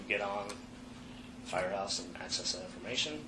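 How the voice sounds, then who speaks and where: A man is speaking. Audible room echo and noticeable background noise accompany his voice. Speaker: firefighter in internal investigation interview. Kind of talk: investigative interview testimony. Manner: loud.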